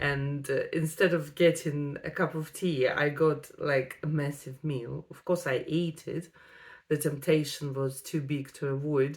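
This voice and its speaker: Speaking with a non-native accent, a woman talks fairly slowly in a very deep, low monotone with flat intonation. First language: Russian. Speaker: vlogger. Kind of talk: personal vlog storytelling. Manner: hesitant, with frequent fillers.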